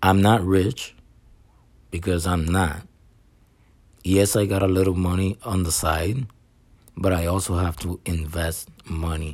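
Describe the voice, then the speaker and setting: A man's very deep, low voice at a fairly slow pace, with fairly even intonation and long, frequent pauses. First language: not English. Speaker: barber and online reseller podcaster. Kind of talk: solo podcast monologue. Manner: halting, many repetitions.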